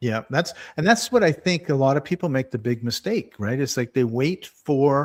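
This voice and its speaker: In an ordinary speaking voice, a man talks at a moderate pace with fairly high pitch and lively intonation. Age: 60s. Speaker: wellness podcast host. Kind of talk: casual chat.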